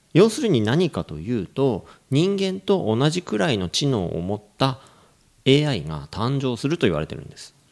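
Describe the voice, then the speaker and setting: A man's medium-pitched voice with very wide pitch swings and big swings in loudness, in a very clean recording with a silent background. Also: moderate pace. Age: 40s. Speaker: English coach and podcast co-host. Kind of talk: casual chat with explanatory talk.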